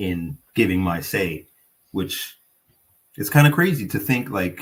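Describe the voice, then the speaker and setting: A man speaks in a fairly low, somewhat breathy voice. His pitch swings very widely. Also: fairly slow pace. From Nova Scotia, North End Halifax. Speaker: city councillor. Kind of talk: interview. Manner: halting, repeats words.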